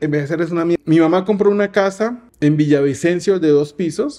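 A man speaks at a fairly quick pace with a high pitch, a dark, mellow tone and ordinary pitch variation against a quiet background. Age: 40s. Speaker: youtuber. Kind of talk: casual monologue. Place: home room. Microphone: studio mic.

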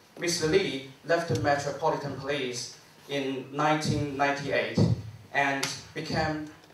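A man speaks with fairly even intonation. Audible room echo and light background noise are present. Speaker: forum organizer and PhD student. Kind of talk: formal introduction. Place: hall. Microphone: handheld.

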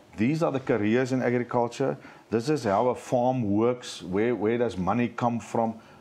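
A man speaks at a medium pitch and a moderate pace, his dark, mellow tone holding very even loudness with fairly even intonation. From South Africa. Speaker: agricultural industry association CEO; guest. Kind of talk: panel discussion. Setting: live broadcast studio at an agricultural show with student audience. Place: studio.

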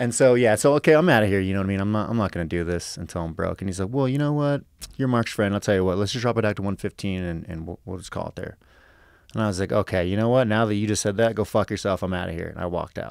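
A man, very fast, with ordinary pitch variation, in a dry sound with no echo and a quiet background. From US West Coast (Los Angeles, San Fernando Valley); California. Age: 30s. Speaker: professional MMA fighter; podcast guest. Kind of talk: casual chat. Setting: studio. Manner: animated. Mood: animated, profane storytelling. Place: studio. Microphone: studio mic.

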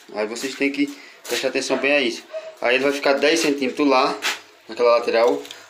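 The man's rather quick delivery stays mostly level in intonation, with some faint noise behind him. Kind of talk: tutorial. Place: home room. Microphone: phone near.

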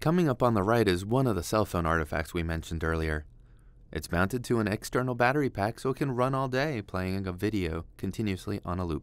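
Lively intonation rides on speech delivered at a very fast pace. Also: man, fairly low pitch for a man, very clean recording, silent background. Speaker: program manager leading a mine tour. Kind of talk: guided walking tour narration, pointing out features. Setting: underground mine tunnel, walking. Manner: measured, explanatory guide pointing things out as he walks; friendly, lightly self-deprecating aside.

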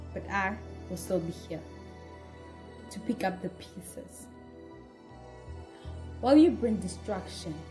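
A woman's very slow speech is accompanied by background music. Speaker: voice actress. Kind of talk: dramatic monologue read.

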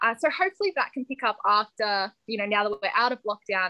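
A woman with an Australian accent, against a quiet background. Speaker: ice cream business founder. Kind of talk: interview. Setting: video call. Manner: energetic. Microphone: video call.

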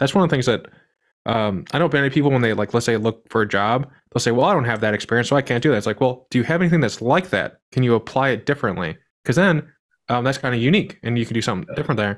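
In a quiet background, a man talks at a very fast pace with lively intonation. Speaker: podcast host. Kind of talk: casual interview. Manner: halting, many fillers. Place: home room. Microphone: studio mic.

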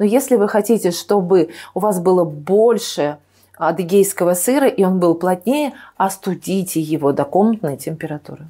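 The recording is very clean, its background silent. The delivery is fairly slow yet lively in intonation. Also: woman. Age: 50s. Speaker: nutrition expert, cooking channel host. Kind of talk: cooking tutorial. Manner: hesitant, many filler sounds.

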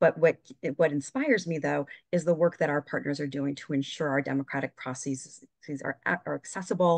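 A woman with an American accent and vocal fry speaks at a very deep, low pitch and a fairly quick pace against a quiet background. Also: dry sound with no echo. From New York state. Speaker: regional field director. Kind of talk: online briefing. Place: home room. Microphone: video call.

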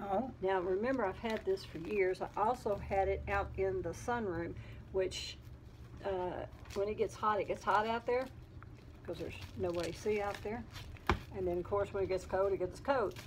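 Some vocal fry colors a woman's voice as she keeps a moderate pace with long, frequent pauses and ordinary pitch variation over light background noise. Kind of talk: casual vlog chat. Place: home room. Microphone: phone near.

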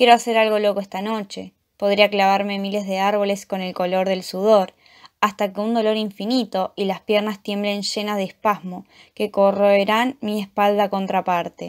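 A woman's intense, moderate-paced speech at a medium pitch, with monotone, flat intonation, on a very clean recording with a silent background. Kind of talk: poem performed. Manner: dark, intense, brooding delivery.

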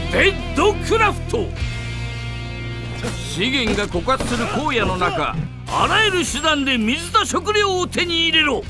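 A man speaks at a very slow pace in a raised, projected voice with an extremely high pitch. His tone is intense and dramatic, and music plays in the background. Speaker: voice actor. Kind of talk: video game trailer narration. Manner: intense, dramatic.

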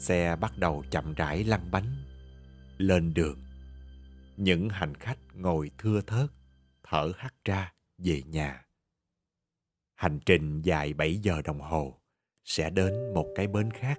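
Very slow, lively speech from a man with a very deep, low pitch, broken by long, frequent pauses, with music in the background. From Southern Vietnam. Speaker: radio announcer, TV host. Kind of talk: audiobook short story reading.

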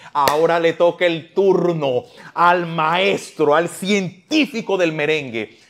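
A man speaks with a Dominican accent. His tone is animated. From Dominican Republic. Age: 40s. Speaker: talk show host. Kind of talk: casual interview. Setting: studio. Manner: talkative. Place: studio. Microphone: lapel.

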